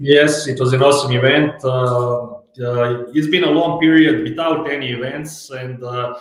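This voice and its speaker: Speaking with a non-native accent, a man keeps a moderate pace and fairly even intonation amid audible room echo. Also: medium pitch for a man. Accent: foreign. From Croatia. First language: Croatian. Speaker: sales executive. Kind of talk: interview. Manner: hesitant, many fillers.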